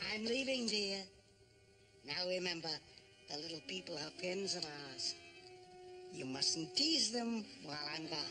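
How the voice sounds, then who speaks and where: Using a put-on character voice at a middle pitch, the speaker goes at a moderate pace against clear background noise. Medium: short film. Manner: earnest, slightly halting.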